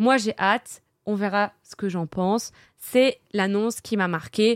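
Recorded very cleanly against a silent background, a woman talks at a very slow pace in a medium pitch, the sound dry and close with no echo. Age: 20s. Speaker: streamer. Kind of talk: casual chat.

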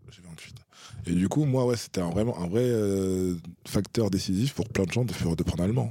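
A man with a fairly low pitch and a dark, mellow tone, moderate pace, ordinary pitch variation and big swings in loudness, on a very clean recording with a silent background. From France. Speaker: polyglot guest. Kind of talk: casual chat.

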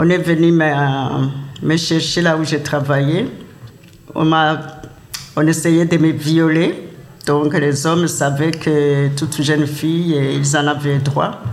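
Speaking very slowly with long, frequent pauses, the voice holds very even loudness and a monotone, flat intonation amid audible room echo and noticeable background noise. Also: man, fairly high pitch for a man. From Burundi, Kayanza province. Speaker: immigrant elder. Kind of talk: testimony.

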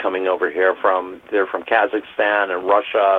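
At a moderate pace, the speaker uses an unremarkable speaking voice. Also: man. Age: 50s. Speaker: restaurant worker. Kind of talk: interview.

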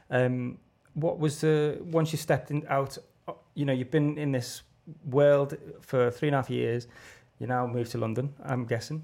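Speaking with a Liverpool accent, a man uses a fairly high pitch and a dark, mellow tone, with fairly even intonation at a moderate pace. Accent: Liverpool (Scouse). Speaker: podcast host. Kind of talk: casual interview chat.

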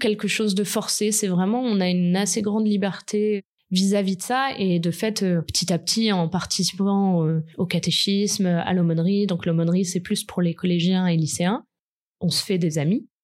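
A woman at a medium pitch with ordinary pitch variation and a fairly slow pace, on a very clean recording with a silent background. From southern France, Côte d'Azur. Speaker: podcast guest telling her love story. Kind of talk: personal testimony. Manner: hesitant, with fillers.

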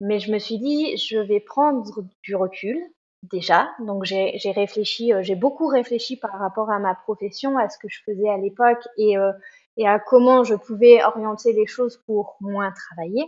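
A woman talks in a normal speaking voice, fairly high-pitched, with ordinary pitch variation. Her pace is fairly slow and her loudness swings widely. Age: 40s. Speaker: trail runner. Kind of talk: interview.

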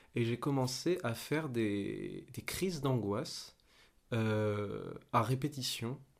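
A man's medium-pitched voice at a very slow pace, on a very clean recording with a silent background. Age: 20s. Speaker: young actor. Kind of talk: casual chat. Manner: halting.

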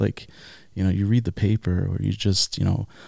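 A man with a New York accent, fairly low in pitch and dark and mellow in tone, at a moderate pace with fairly even intonation, on a dry, close, echo-free and very clean recording with a silent background. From Long Island, New York. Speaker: chef. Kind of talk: casual chat.

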